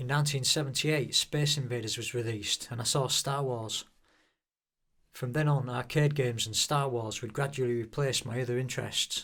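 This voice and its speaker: In a Hull accent, the speaker moves at a fairly quick pace with fairly even intonation. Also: man, medium pitch for a man. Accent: Hull, East Yorkshire English. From northern England, Hull. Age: 50s. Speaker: YouTuber. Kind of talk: personal narration. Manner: downbeat.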